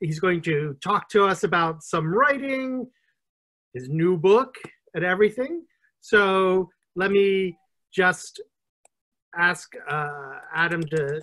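A man's raised, projected voice at a very slow pace, with lively intonation, long and frequent pauses, and a quiet background. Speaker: interview host. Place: home room. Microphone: video call.

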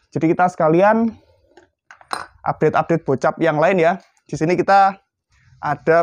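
The man's voice sits fairly high, with an upbeat tone. He speaks at a fairly slow pace in a dry sound with no echo. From Indonesia. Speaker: airgun shop presenter. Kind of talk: sales pitch. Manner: brisk, upbeat street-seller patter; repetitive, calling out to buyers. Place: shop.

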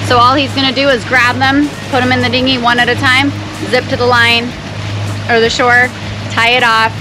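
A woman speaks at a moderate pace with music playing in the background. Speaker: sailing vlogger. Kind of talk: casual vlog chat explaining a procedure. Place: boat. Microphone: phone near.

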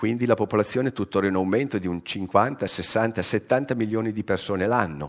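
With an ordinary speaking voice, a man of fairly low pitch talks at a moderate pace and with lively intonation over a quiet background. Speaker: science journalist. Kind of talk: lecture. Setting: stage with audience. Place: hall.

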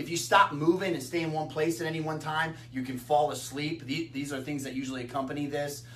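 Speaking at a very fast pace, the man keeps his intonation fairly even. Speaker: nutrition educator. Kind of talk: lecture. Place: empty room. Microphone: camera far.

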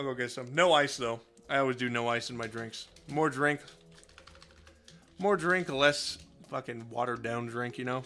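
Over music in the background, a man talks at a moderate pace and a medium pitch, with ordinary pitch variation. He leaves long, frequent pauses. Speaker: video game streamer. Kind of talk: casual live stream chat. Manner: animated.

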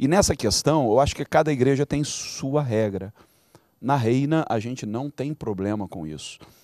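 A man's dark, mellow tone at a medium pitch and moderate pace, with lively intonation, a dry sound with no echo and a quiet background. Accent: Brazilian. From Brazil. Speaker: bishop; pastor, guest. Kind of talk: panel discussion. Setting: studio. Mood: earnest, reflective. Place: studio. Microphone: handheld.

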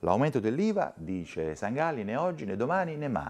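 With very wide pitch swings, a man keeps to a moderate pace. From Italy. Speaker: news presenter. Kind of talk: news reading. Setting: studio. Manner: formal, brisk and even-paced, neutral broadcast delivery; clear, measured, with little emotional colouring. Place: studio. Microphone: lapel.

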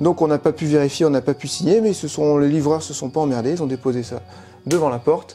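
A man at a fairly quick pace, ordinary pitch variation, light background noise. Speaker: bus conversion vlogger. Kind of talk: casual vlog chat. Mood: mildly annoyed, joking.

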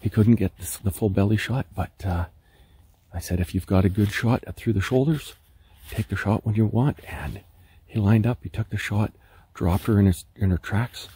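A man speaks at a moderate pace in a fairly low, somewhat breathy voice with a dark, mellow tone. His pitch varies in an ordinary way, and the sound is dry with no echo. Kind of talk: casual vlog chat. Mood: excited, happy. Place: forest. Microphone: phone near.

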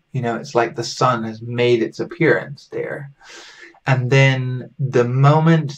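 Over faint background music, a man with an American accent speaks with fairly even intonation. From US South (southern Alabama). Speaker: folk magic teacher. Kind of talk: lecture. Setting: home recording. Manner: halting. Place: home room.

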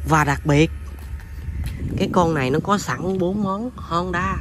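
At a very slow pace, a man speaks in a dry sound with no echo, with noticeable background noise. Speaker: motorbike seller. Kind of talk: sales walkaround commentary. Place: open country. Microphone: phone near.

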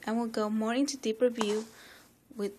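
A woman's fairly high voice with a non-native accent, set against noticeable background noise. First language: not English. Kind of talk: casual unboxing talk to camera. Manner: upbeat.

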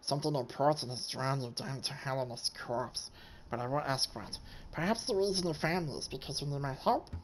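A put-on character voice at a low-to-middle pitch moves at a fairly quick pace over clear background noise. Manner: menacing.

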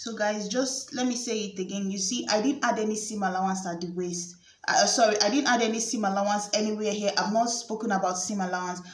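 Audible room echo surrounds a very fast delivery with hardly any pauses. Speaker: sewing tutor. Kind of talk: tutorial.

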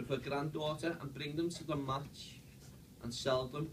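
A man talks at a moderate pace in a Liverpool accent. Noticeable background noise runs behind him. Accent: Scouse. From Liverpool, England. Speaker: stadium tour guide. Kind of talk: guided tour talk to a group. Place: meeting room. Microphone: camera far.

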